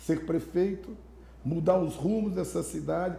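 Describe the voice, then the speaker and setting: Audible room echo surrounds a man speaking in an animated tone. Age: 60s. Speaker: mayoral candidate and businessman. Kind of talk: interview.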